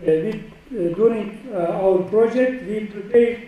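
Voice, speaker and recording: A man speaks very slowly in a Turkish accent. Room echo is audible, and background noise is noticeable. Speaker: professor. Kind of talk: lecture.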